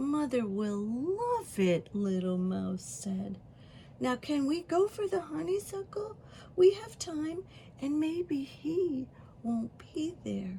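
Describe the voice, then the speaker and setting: A woman whispers quietly in a put-on character voice at a very slow pace. Clear background noise can be heard. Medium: read story. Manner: small, quiet, whispery.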